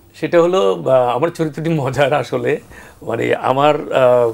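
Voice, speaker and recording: Here a man with a normal speaking voice talks at a fairly high pitch with ordinary pitch variation. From Bangladesh, Feni (greater Noakhali). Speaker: actor. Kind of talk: TV talk show interview. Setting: TV studio.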